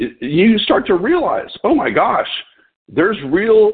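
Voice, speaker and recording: Talking at a fairly slow pace, a man moves through very wide pitch swings. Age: 50s. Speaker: business leader hosting a weekly conference call. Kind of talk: unscripted motivational business talk. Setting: phone conference call.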